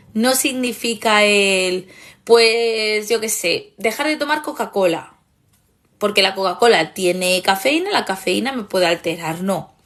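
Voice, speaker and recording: At a fairly slow pace, a woman speaks with a fairly high pitch and lively intonation. Her tone is animated against a quiet background. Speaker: therapist and online course creator. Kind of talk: live stream talk.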